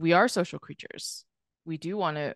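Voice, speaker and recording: Over a quiet background with a dry, echo-free sound, a woman speaks at a fairly quick pace in an American accent. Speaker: podcast guest. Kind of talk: casual interview. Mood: reflective, earnest. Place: home room. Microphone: studio mic.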